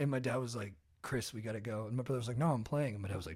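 Speaking at a very fast pace, a man with an American accent sounds somewhat breathy. His pitch varies in an ordinary way. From Orange County, California. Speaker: podcaster and comedian. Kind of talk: casual chat.

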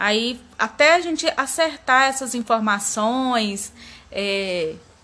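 A woman's voice with lively intonation. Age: 30s. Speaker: lab receptionist. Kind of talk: interview answers.

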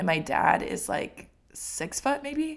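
A woman with an American accent, very wide pitch swings, vocal fry, and a very slow pace. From Washington State, US Pacific Northwest. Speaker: podcast co-host, small business owner. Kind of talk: casual chat. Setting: studio microphone.

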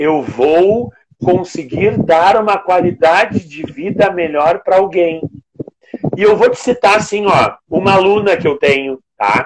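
A man at a fairly slow pace, his pitch high. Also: ordinary pitch variation. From Rio Grande do Sul, Brazil (Rio Grande). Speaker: physical education teacher and personal trainer. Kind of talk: casual interview.

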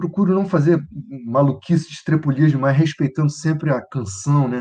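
A man with a fairly high pitch and a somewhat breathy voice talks at a moderate pace with ordinary pitch variation. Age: 60s. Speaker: conductor, pianist, composer and singer. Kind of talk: casual interview. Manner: halting, repeats words.

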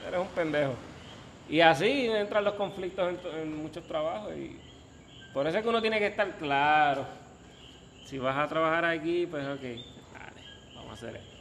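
Leaving long, frequent pauses, a man speaks at a moderate pace with a fairly high pitch, lively intonation and big swings in loudness, with audible room echo. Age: 30s. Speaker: podcast guest. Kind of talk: casual chat.

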